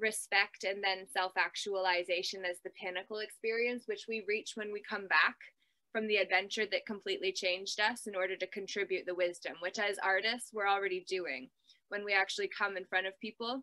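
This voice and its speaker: Speaking fairly quickly, a woman with a medium pitch keeps her intonation fairly even in a bright, sharp tone. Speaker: artist and inspirational speaker. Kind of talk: talk at an online summit.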